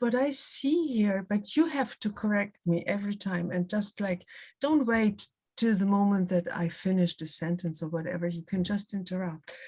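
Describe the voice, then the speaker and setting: This somewhat breathy voice has a dark, mellow tone and lively intonation, with a German accent. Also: woman, medium pitch for a woman, moderate pace. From Germany, Hamburg. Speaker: art writer and critic. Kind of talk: public conversation. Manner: halting.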